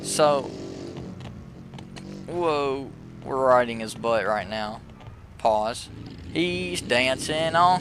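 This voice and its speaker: A man talks at a very slow pace with lively intonation and long, frequent pauses. Noticeable background noise and audible room echo fill the recording. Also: medium pitch for a man. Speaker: gaming YouTuber. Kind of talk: casual gameplay commentary. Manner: animated; halting.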